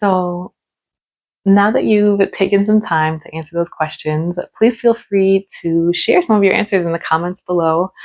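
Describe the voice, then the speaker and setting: This woman has an unremarkable speaking voice with an American accent, pitched in the medium range. She talks at a fairly slow pace with ordinary pitch variation. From United States. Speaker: English teacher. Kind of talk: tutorial. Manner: slow and clear.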